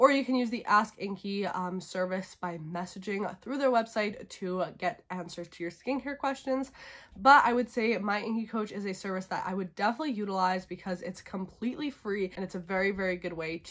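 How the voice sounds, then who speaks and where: A woman speaks at a fairly quick pace with ordinary pitch variation. The background is quiet. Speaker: beauty vlogger. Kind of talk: casual vlog chat. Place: home room. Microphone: phone near.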